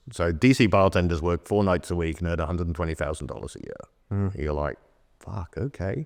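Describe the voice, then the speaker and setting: A man's very deep, low voice in a southern English accent, at a fairly quick pace with ordinary pitch variation over a quiet background. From Oxford, England. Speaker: bartender and drinks consultant. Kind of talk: podcast interview answer. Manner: fast.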